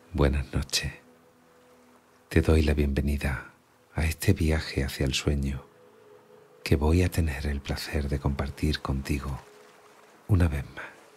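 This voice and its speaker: A man with a very deep, low pitch and vocal fry, monotone and flat, at a fairly slow pace with long, frequent pauses. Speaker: meditation guide. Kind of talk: guided sleep meditation. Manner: soft-spoken, slow.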